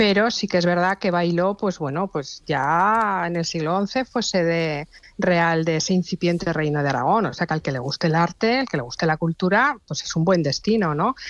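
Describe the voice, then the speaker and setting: Against a quiet background, a plain, everyday voice with lively intonation moves at a moderate pace with hardly any pauses. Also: woman, fairly low pitch for a woman. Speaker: travel recommendations contributor. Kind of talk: radio interview.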